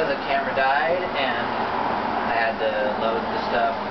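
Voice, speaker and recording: A man talks at a very slow pace. Loud background noise runs behind him. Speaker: potter. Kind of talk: casual pottery tutorial talk. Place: workshop. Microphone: camera far.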